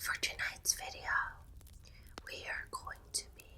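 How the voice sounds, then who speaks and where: Noticeable background noise sits behind a woman who is soft-spoken. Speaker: ASMR creator. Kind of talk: ASMR reiki healing session. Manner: soft-spoken, comforting.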